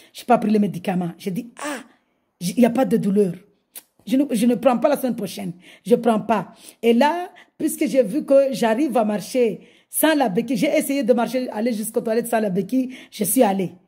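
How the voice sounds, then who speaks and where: A woman speaks with a dark, mellow tone and a fairly high pitch. She takes long, frequent pauses. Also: ordinary pitch variation, moderate pace, quiet background. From Mayotte. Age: 50s. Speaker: religious convert. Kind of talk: testimony. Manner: halting. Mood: joyful, fervent. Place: home room. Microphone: phone near.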